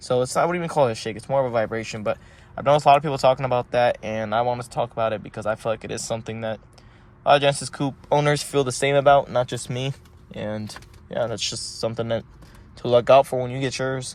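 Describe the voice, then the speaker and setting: Talking very fast, a man keeps a medium pitch and fairly even intonation. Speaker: car enthusiast vlogger. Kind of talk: casual vlog rant.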